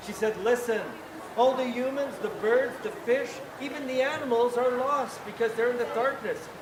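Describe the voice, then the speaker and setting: At a moderate pace, a man with an extremely high voice speaks with fairly even intonation amid noticeable background noise. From Quebec, Canada. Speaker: town crier. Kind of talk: storytelling to a live audience.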